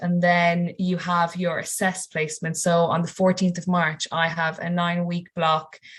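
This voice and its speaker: With a western Irish accent, a woman speaks at a fairly low pitch, somewhat breathy, her intonation monotone and flat. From Ireland, County Mayo. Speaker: university student. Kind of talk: webinar Q&A.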